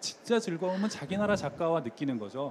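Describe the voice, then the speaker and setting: Through noticeable background noise, a man talks very fast with lively intonation. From South Korea. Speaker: novelist. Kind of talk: public interview on stage. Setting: literary salon at a book fair.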